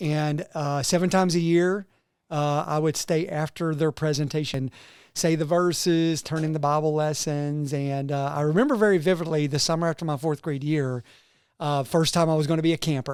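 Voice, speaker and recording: This man speaks in an Appalachian accent at a fairly high pitch. His pace is moderate and his intonation fairly even. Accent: Appalachian Southern US. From eastern Kentucky, Harlan County. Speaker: pastor. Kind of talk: casual interview. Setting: studio.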